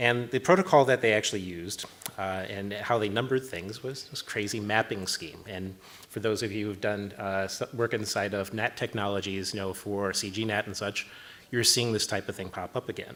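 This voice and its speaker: Fairly low-pitched male speech with an American accent, a fairly quick pace, and fairly even intonation. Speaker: network protocol engineer. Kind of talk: conference talk. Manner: fast.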